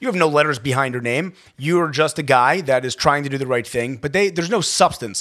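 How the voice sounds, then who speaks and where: A man with an American accent at a fairly high pitch, talking at a very fast pace. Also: ordinary pitch variation. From Maryland, Baltimore County. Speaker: healthcare executive in addiction recovery. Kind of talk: personal testimony in interview.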